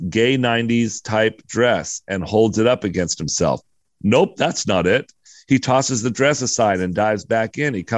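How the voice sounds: It is a natural reading voice with ordinary pitch variation, heard over a quiet background.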